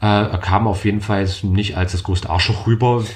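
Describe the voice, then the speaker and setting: Talking at a moderate pace, a man has a fairly low-pitched and somewhat breathy voice. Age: 20s. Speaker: podcast host. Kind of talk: casual chat.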